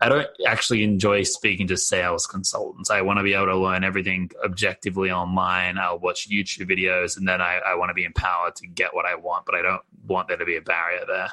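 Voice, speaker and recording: A man with an Australian accent talks at a very fast pace. He hardly pauses at all. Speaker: marketing executive. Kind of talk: interview. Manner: casual, lots of filler words.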